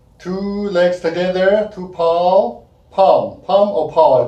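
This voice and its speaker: A man speaks at a very slow pace in a high pitch. The room echo is audible. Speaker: kung fu instructor. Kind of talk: tutorial. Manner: halting; counting aloud.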